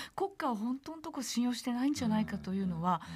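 A woman talks at a very fast pace and high pitch. Light background noise is present. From Saitama, Japan. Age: 50s. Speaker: historian; guest. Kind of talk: radio interview. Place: studio.

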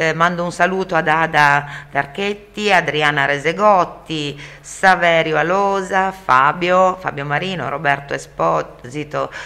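With a very deep, low pitch, a woman speaks at a fairly slow pace and with fairly even intonation. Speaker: radio host. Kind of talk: radio talk show.

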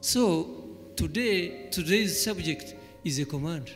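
Faint music plays in the background. A man speaks at a high pitch. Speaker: church elder preaching. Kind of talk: sermon. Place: hall. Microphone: handheld.

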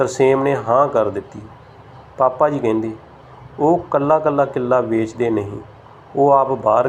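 What you hear is an unforced reading voice.

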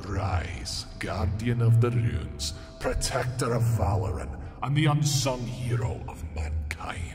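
In a put-on character voice, a man speaks raspily at a medium pitch and a fairly slow pace, with a clear echo and faint music in the background. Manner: commanding, ominous.

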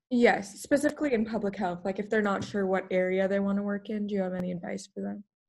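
A woman's somewhat breathy, medium-pitched voice at a very fast pace, with hardly any pauses and ordinary pitch variation. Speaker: peer career advisor. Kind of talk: interview. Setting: video call.

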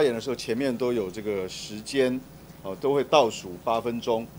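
Speaking at a moderate pace with ordinary pitch variation, a man talks with a Taiwanese accent. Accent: Taiwanese Mandarin. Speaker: committee chair at legislative hearing. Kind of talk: formal hearing moderation. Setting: legislative committee room.

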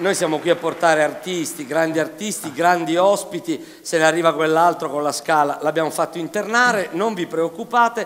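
Over crowd noise in the background, a man talks at a moderate pace and high pitch. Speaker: comedian host. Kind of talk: stand-up comedy stage talk. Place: stage. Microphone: headset.

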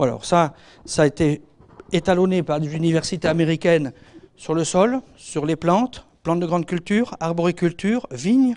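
A man talks at a moderate pace in a high pitch. His pitch variation is ordinary. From France, Normandy and Alsace; France. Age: 50s. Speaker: veterinary and agronomy consultant; speaker. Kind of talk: lecture. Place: hall. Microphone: handheld.

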